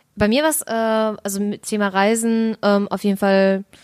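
In a very clean recording with a silent background and a dry, close sound with no echo, a woman with a normal speaking voice talks at a fairly slow pace and a fairly high pitch. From Germany, bilingual Russian household. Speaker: podcast co-host. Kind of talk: casual chat.

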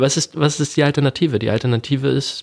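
In a normal speaking voice, a man speaks at a moderate pace with fairly even intonation. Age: 20s. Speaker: student and blog founder. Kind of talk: interview.

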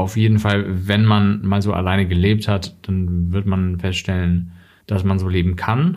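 A man speaks fairly slowly in a very deep, low voice with monotone delivery and very even loudness. Room echo is audible. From Germany. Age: 30s. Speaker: journalist and author. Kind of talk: interview.

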